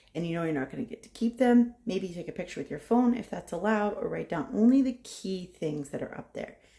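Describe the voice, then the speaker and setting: Speaking at a fairly quick pace, a woman uses a medium pitch and lively intonation, with a dark, mellow tone and vocal fry. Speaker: nursing professor. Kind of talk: tutorial. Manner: fast; casual.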